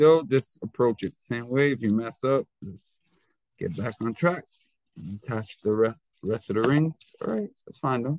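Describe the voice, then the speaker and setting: A man talks in an unremarkable speaking voice at medium pitch and a moderate pace, with ordinary pitch variation. His loudness swings widely, and the sound is dry and close with no echo. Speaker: teacher. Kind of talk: tutorial.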